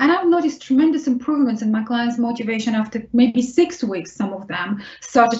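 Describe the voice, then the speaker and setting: In a Russian accent, a woman speaks with a high pitch and ordinary pitch variation. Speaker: vocational rehabilitation specialist. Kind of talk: webinar Q&A answer. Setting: online webinar.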